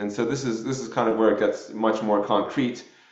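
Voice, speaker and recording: Fairly quick talk from a man at a medium pitch, ordinary in pitch variation, amid noticeable background noise and audible echo from the room. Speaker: professor. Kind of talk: lecture. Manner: fast; halting.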